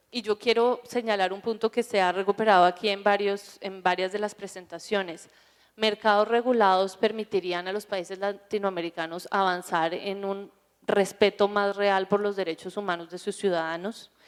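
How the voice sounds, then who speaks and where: Over a silent background in a very clean recording, a woman with a Colombian accent speaks at a moderate pace in a monotone, flat intonation. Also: medium pitch for a woman. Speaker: drug policy panelist. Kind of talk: conference panel talk.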